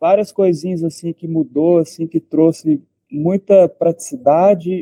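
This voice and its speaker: A man with a strong mineiro accent speaks in a high pitch with a dark, mellow tone. His pace is moderate, and the sound is dry and close with no echo. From Brazil, Minas Gerais. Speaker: part-time trader. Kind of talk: live stream casual chat. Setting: live video stream. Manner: halting.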